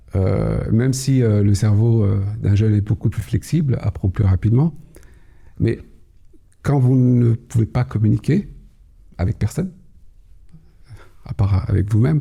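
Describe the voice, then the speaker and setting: A man speaks fairly slowly in a calm, dark, mellow tone, somewhat breathy at a medium pitch, with lively intonation. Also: long, frequent pauses, very even loudness. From Kabylie, Algeria, raised Paris region from age six. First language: Kabyle (Berber) (speaking French). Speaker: cybersecurity executive. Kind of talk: podcast interview. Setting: studio. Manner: hesitant, many fillers.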